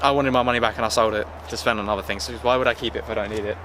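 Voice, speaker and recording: Against noticeable background noise, a man talks with a British accent. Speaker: car vlogger. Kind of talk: casual walkthrough vlog. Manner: fast.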